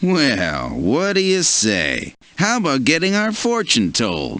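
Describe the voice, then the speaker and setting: A man in a put-on character voice, speaking at a fairly slow pace. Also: fairly high pitch for a man. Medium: video game.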